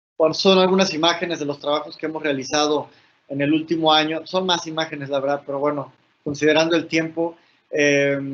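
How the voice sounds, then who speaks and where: His fairly high voice stays monotone and flat as the man talks at a fairly quick pace. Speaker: patient advocacy speaker. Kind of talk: conference presentation.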